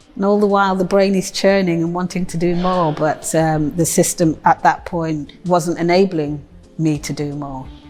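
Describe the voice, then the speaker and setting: Music plays in the background as a woman speaks at a moderate pace. Her pitch is fairly low and her intonation fairly even. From Nottingham, England. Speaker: poet. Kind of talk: interview testimony.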